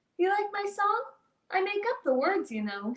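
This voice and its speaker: In a put-on character voice, a woman squeaks at an extremely high pitch, talking at a moderate pace with lively intonation. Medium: read story. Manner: boastful, easygoing.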